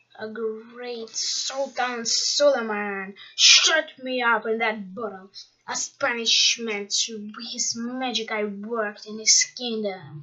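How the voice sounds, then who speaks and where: Bellowing in a put-on character voice, the speaker moves at a very slow pace with hardly any pauses. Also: woman, fairly high pitch for a woman. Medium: read story. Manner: roaring, bellowing.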